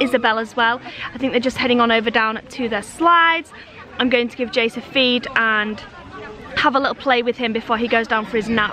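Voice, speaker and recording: A woman talks at a fairly quick pace in a high voice with fairly even intonation. Her dry sound has no echo, with crowd noise in the background. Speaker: family vlogger. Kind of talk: casual vlog chat. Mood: relaxed, chatty. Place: open country. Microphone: phone near.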